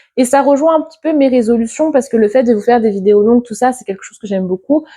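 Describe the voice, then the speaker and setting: Fairly quick, high-pitched female speech with ordinary pitch variation. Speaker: book content creator. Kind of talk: casual vlog monologue. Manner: hesitant, with fillers.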